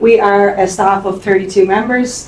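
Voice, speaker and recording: A woman with a Dublin accent speaks over noticeable background noise. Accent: Irish (Dublin). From Ireland, Dublin. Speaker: employment centre staff presenter. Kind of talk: conference presentation. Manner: fast.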